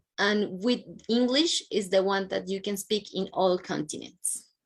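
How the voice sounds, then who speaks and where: A woman with a Colombian accent talks at a fairly slow pace with a fairly high pitch and ordinary pitch variation over a quiet background. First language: Spanish. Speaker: university international advisor. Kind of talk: presentation.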